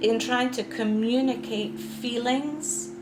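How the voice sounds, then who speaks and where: A woman with a Scottish accent speaks at a very slow pace. There is audible room echo and music in the background. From Scotland, Edinburgh. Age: 60s. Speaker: author. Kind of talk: interview testimony. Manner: halting.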